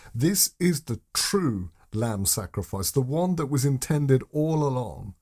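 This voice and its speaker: A man speaks at a medium pitch with a somewhat breathy voice. His pitch swings very widely, and his pace is fairly slow. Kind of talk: sermon-style teaching video.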